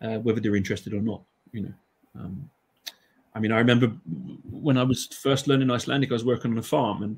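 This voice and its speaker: A man with an English accent and a medium pitch talks very fast, with ordinary pitch variation and long, frequent pauses. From England. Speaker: Icelandic language teacher. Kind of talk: panel discussion.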